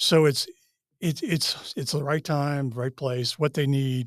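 In a very clean recording with a silent background and a dry, close sound with no echo, a man with an American accent uses an ordinary speaking voice at a moderate pace, with a fairly high pitch and ordinary pitch variation. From US Northeast (Massachusetts). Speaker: retired naval officer. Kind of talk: interview storytelling.

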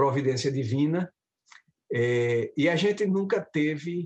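The speaker is a man with a fairly high pitch. He goes at a fairly slow pace, with ordinary pitch variation. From Brazil, Recife (Pernambuco). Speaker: professor of medical education. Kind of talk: interview conversation.

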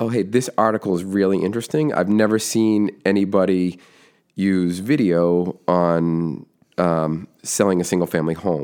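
An American accent at a fairly slow pace with ordinary pitch variation, on a very clean recording with a silent background. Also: man. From Massachusetts (Foxborough, near Boston). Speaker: construction business owner and podcaster. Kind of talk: podcast interview.

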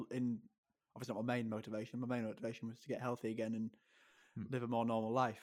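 A man with an English accent, medium pitch and fairly quick pace, on a very clean recording with a silent background. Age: 20s. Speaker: kidney transplant patient and sports podcaster. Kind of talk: interview.

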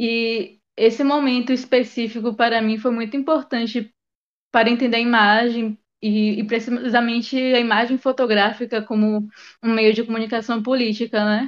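Her fairly high pitch stays in a monotone, flat intonation as the woman speaks at a moderate pace. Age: 20s. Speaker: photographer and art educator. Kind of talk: podcast interview.

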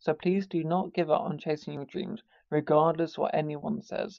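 Vocal fry runs through a man's fairly high-pitched, slightly mellow voice at a moderate pace.

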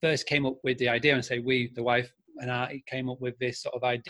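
With a Yorkshire accent, a man speaks in a medium, monotone pitch with flat intonation and a bright, sharp tone. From Scarborough, North Yorkshire, England. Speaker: marketing agency founder. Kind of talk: interview. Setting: video call from Spain.

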